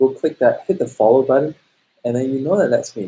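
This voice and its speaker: Somewhat breathy, a man speaks in a dark, mellow tone with lively intonation. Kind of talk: casual talk to camera.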